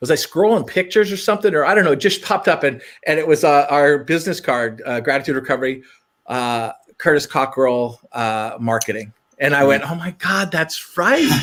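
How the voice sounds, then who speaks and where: With an American accent, a man talks at a fairly quick pace and a fairly high pitch. He has an ordinary speaking voice with lively intonation. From Montana, rural US. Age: 60s. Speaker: rehab center owner. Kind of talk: casual chat.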